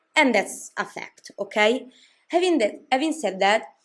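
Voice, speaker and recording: Recorded very cleanly against a silent background, a woman speaks with a non-native accent. Her pace is moderate and her intonation lively. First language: not English. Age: 20s. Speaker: K-pop commentary YouTuber. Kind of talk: casual vlog commentary. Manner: hesitant, many fillers and restarts.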